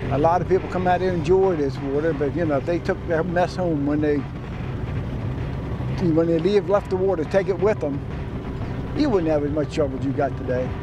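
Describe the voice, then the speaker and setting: A man speaks with long, frequent pauses in a dry sound with no echo, with noticeable background noise present. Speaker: waterman, former oyster company worker. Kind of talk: interview answer. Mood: nostalgic, concerned. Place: waterside.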